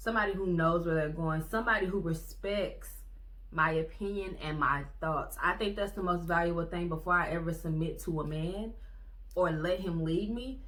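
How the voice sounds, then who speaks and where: A woman's fairly low-pitched voice with fairly even intonation and audible room echo. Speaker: vlogger. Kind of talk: casual monologue. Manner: fast.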